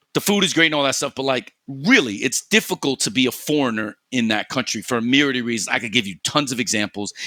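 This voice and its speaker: Speaking very fast with hardly any pauses, a man with a New York accent has a medium pitch, lively intonation and a bright, sharp tone, recorded dry and close with no echo. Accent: New York American English. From US Northeast, New York City. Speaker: esports podcast host, Valorant coach. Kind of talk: casual chat. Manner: fast, animated.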